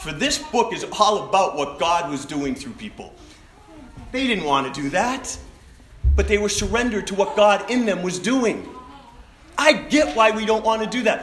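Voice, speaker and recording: A man speaks loudly at a high pitch with very wide pitch swings and long, frequent pauses over noticeable background noise. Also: moderate pace. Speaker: pastor. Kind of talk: sermon. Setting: church.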